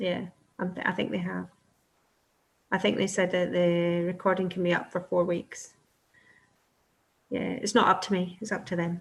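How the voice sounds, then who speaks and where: A woman speaks with a Scottish accent at a medium pitch and a moderate pace. Her intonation is monotone and flat, broken by long, frequent pauses. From Scotland. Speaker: respiratory nurse practitioner. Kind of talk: webinar Q&A. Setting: online webinar.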